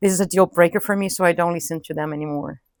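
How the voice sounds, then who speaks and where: Speaking with a Portuguese accent and ordinary pitch variation, the voice has a dry, close sound with no echo. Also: woman. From Brazil, São Paulo. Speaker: English teacher. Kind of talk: interview. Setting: outdoors.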